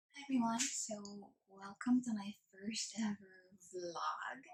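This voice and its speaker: A somewhat breathy woman's voice at a medium pitch, with ordinary pitch variation. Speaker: vlogger. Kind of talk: casual talk to camera.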